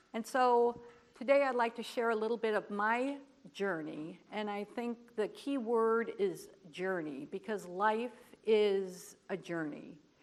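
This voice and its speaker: A woman with a plain, everyday voice, fairly high in pitch with ordinary variation, at a fairly slow pace. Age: 60s. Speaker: cleft community advocate. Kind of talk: conference presentation.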